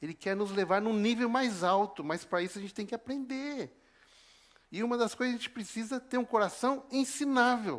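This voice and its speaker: With a Paraná accent, a man speaks at a high pitch and a moderate pace, using ordinary pitch variation. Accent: Brazilian Portuguese, Paraná. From southern Brazil, northern Paraná (Apucarana). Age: 50s. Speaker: preacher. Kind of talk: sermon.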